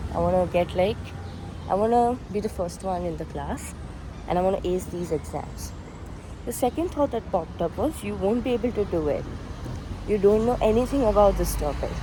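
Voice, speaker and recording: With noticeable background noise, a woman talks at a fairly quick pace broken by long, frequent pauses. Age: 20s. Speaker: vlogger. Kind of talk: casual vlog monologue.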